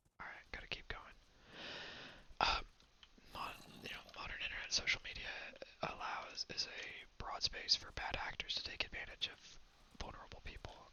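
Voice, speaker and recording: A whisper at a moderate pace, broken by long, frequent pauses. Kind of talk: casual talk to camera, ASMR gameplay ramble. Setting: low-quality lo-fi recording. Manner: whispered, rambling.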